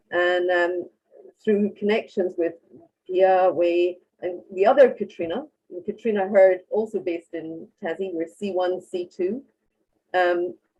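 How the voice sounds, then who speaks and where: With a Scottish accent and a dark, mellow tone, a woman speaks at a medium pitch and fairly slow pace, her intonation fairly even, with long, frequent pauses. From Scotland. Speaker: marine science researcher. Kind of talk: panel discussion.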